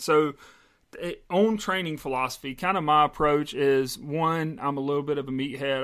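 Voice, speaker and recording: Over a silent background in a very clean recording, a man with a normal speaking voice talks at a moderate pace, his pitch fairly high and his intonation fairly even. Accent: American. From US South, South Carolina. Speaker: podcast co-host, salesman and personal trainer. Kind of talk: casual chat.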